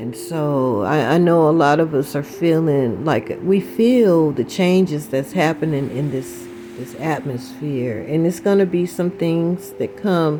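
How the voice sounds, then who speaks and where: At a fairly slow pace, a woman speaks with a very deep, low pitch and very wide pitch swings amid noticeable background noise. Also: hardly any pauses. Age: 60s. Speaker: spiritual vlogger. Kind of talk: casual spiritual talk.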